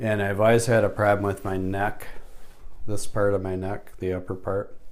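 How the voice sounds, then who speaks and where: Speaking at a moderate pace, a man keeps a monotone, flat intonation while the room echo is audible. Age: 60s. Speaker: chiropractic patient. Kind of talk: testimony. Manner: halting.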